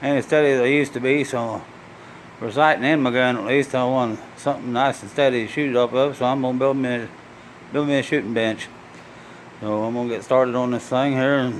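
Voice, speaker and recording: A medium-pitched man's voice over noticeable background noise. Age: 60s. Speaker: DIY woodworking and hunting vlogger. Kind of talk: casual how-to tutorial. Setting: home garage workshop. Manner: halting, with fillers and repeats.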